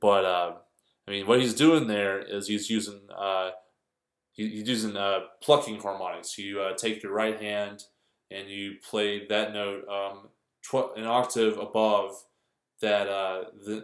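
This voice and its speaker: Audible room echo surrounds a man with a fairly low pitch. He speaks at a fairly slow pace with fairly even intonation. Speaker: guitar teacher. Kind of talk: tutorial. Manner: halting, many fillers; casual.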